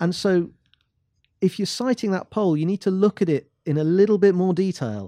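Speaking at a moderate pace with an English accent, a man has a dark, mellow tone, captured dry and close with no echo against a quiet background. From England. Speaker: business commentator and columnist. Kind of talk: reading aloud; casual discussion. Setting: studio.

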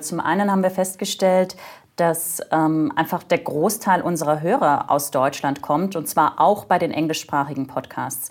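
A woman's normal speaking voice, fairly low in pitch, at a moderate pace with ordinary pitch variation. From Germany. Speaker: corporate podcast host in corporate communications. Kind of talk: interview conversation.

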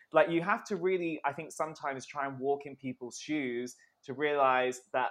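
A man speaks at a moderate pace in an unremarkable speaking voice, pitched fairly high. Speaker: magazine entertainment editor. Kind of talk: casual chat.

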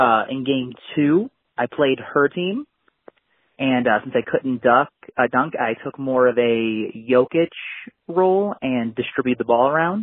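Speaking at a fairly slow pace, a man with a plain, everyday voice has a medium pitch and ordinary pitch variation. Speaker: listener caller. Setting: phone call.

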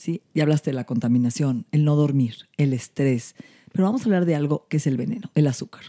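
A woman's very deep, low voice, dark and mellow in tone, with lively intonation, a fairly quick pace and a dry, close sound with no echo. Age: 50s. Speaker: anti-aging medicine doctor. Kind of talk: casual chat.

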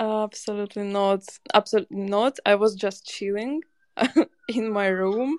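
With a non-native accent, a woman speaks at a moderate pace and medium pitch with ordinary pitch variation, taking long, frequent pauses in a dry, close sound with no echo. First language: not English. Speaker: digital artist. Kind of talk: casual interview. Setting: live audio spaces online. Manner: halting, searching for words.

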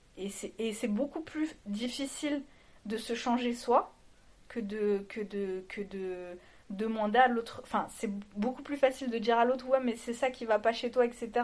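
Pitch varies in an ordinary way as the speech goes at a fairly slow pace. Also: woman, fairly high pitch for a woman. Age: 30s. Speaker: married woman sharing her marriage story. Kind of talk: interview testimony. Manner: halting.

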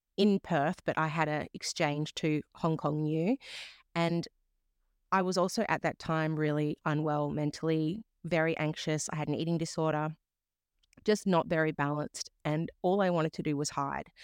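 With an Australian accent, a woman with a very deep, low pitch speaks at a moderate pace with fairly even intonation, in a dry, close sound with no echo on a very clean recording with a silent background. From Western Australia. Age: 30s. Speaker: yoga teacher and life coach. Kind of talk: interview. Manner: reflective, hesitant with fillers.

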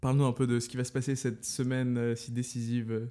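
This man's voice has a medium pitch. It carries a dark, mellow tone. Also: very clean recording, silent background. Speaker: podcast host, medical student. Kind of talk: casual chat.

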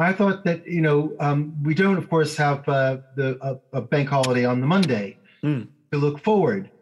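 A somewhat breathy man's voice, fairly high in pitch, with ordinary pitch variation, very even loudness and a moderate pace. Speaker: law professor and policy author. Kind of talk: interview discussing policy. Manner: halting, repeats words.

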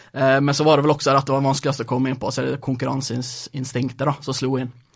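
Very fast, somewhat breathy speech. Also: man. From Norway, Sunnmøre (near Ålesund); born in Gothenburg, Sweden. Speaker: startup founder. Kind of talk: interview. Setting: studio.

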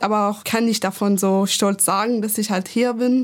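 With a Persian accent, a woman speaks at a fairly slow pace and a fairly high pitch. Her intonation is monotone and flat, on a very clean recording with a silent background. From Iran. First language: Persian (speaking German). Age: 20s. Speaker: activist. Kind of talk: panel discussion.

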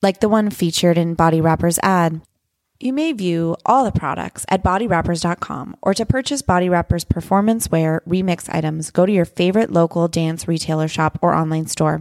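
The speech moves at a fairly quick pace with ordinary pitch variation. The recording is very clean with a silent background and has a dry, close sound with no echo. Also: woman. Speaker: podcast host, former ballet dancer. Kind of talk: live interview. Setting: stage with audience.

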